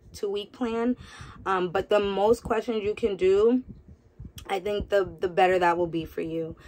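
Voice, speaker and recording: A woman with an American accent, moderate pace and fairly even intonation. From New York. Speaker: nurse. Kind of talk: casual vlog. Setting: home. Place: home room. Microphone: phone near.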